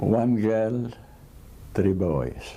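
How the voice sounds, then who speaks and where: A man speaks with an Italian accent. His tone is dark and mellow, with ordinary pitch variation. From Italy. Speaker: immigrant tailor. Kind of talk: interview testimony.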